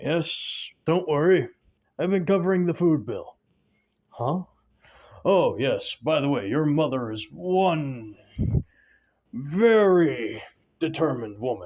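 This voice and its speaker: Using a put-on character voice, a man speaks with a fairly high pitch, lively intonation and a fairly slow pace, leaving long, frequent pauses. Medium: read story. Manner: warm, jovial.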